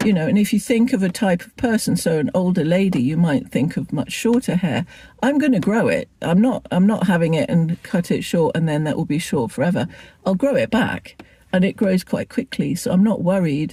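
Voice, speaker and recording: A woman with an English accent, medium pitch and very wide pitch swings, a dark, mellow tone, somewhat breathy, at a fairly quick pace. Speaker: lifestyle vlogger. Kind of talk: casual vlog chat. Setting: in a car. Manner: halting.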